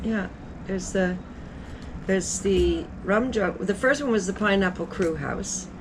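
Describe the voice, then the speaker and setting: A woman speaks at a medium pitch with ordinary pitch variation, and there is noticeable background noise. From Antigua. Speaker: innkeeper. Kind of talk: interview answer. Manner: casual, chatty.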